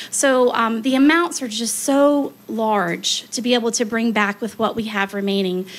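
In a plain, everyday voice, a woman speaks at a fairly slow pace with a fairly high pitch. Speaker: human resources director; presenter. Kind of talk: presentation at public meeting. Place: hall. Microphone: podium.

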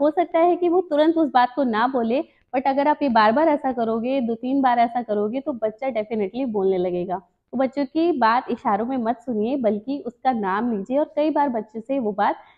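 High pitch from a woman, quiet setting behind her. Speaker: presenter. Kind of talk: tutorial. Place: home room. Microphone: lapel.

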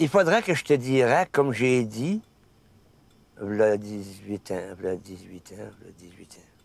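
With lively intonation and big swings in loudness, a man talks at a very slow pace with long, frequent pauses, in dry sound with no echo. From Quebec. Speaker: fisherman; interviewee. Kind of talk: documentary interview. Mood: warm, enthusiastic recollection. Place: car.

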